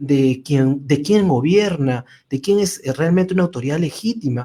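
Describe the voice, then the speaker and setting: Somewhat breathy, a man speaks with a dark, mellow tone, a fairly high pitch and lively intonation. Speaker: interview host, coach. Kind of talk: political interview.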